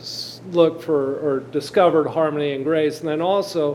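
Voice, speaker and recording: A man's fairly high voice with ordinary pitch variation against noticeable background noise. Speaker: audience member. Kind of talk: audience question.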